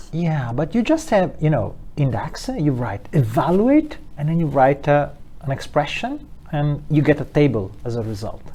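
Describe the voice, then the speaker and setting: Lively intonation colors this man's speech. His pitch is fairly high and his pace moderate. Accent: Italian. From Italy. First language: Italian. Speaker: data analytics expert and trainer. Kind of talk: casual interview. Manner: halting.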